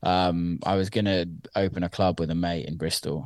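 A man's very deep, low voice with a West Country accent, at a fairly slow pace against a quiet background. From Somerset, England. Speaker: DJ and music producer. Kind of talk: interview.

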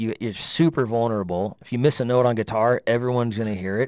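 A man with an American accent at a very fast pace and fairly even intonation. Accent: slight North Dakota creep, mostly avoided. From Northern California (Livermore). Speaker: singer-songwriter. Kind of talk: casual interview chat.

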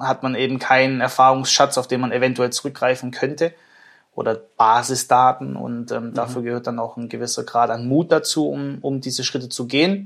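With an ordinary speaking voice, a man talks at a moderate pace and medium pitch with fairly even intonation in a very clean recording, silent background. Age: 20s. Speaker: managing director of engineering firm. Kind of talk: interview.

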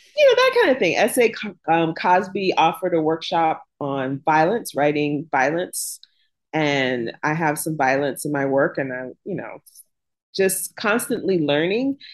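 A woman with an American accent speaks at a moderate pace in a normal speaking voice. Her pitch is fairly low, and her intonation is lively. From US South, Jacksonville, Florida. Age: 50s. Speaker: author. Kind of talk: interview.

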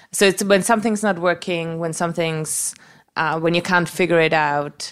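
Fairly low-pitched woman's voice with a German accent, fairly even intonation and a moderate pace. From Austria. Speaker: panelist guest. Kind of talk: casual chat.

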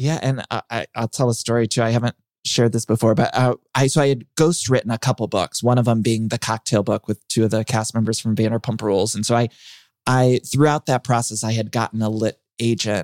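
A man's normal speaking voice with an American accent, medium in pitch, at a fairly quick pace with fairly even intonation, in a very clean recording with a silent background and a dry, close sound with no echo. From US Midwest, Ohio. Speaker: author and podcast host. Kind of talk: casual interview chat.

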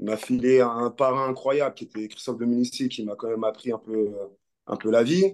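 A man speaks at a medium speed and mid-range pitch, with pitch variation that is normal. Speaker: former professional rugby player. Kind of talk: interview. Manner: halting.

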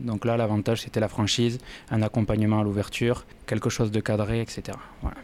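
At a fairly quick pace, a man with a fairly low pitch speaks in a monotone, flat intonation at very even loudness. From southern France, Toulouse. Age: 40s. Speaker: bar franchisee, former auditor. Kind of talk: interview.

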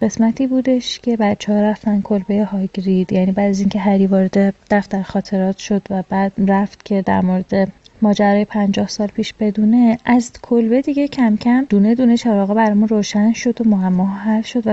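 A woman speaks at medium pitch and a moderate pace, with hardly any pauses. Her voice is somewhat breathy, with fairly even intonation and very even loudness. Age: 30s. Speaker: listener sending a voice message. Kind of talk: recorded listener voice message. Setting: self-recorded voice message.

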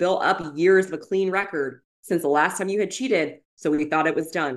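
A woman with a plain, everyday voice speaks at a moderate pace. Her pitch is fairly low, and her intonation is lively. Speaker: podcast host. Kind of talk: casual chat about reality TV. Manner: casual, conversational.

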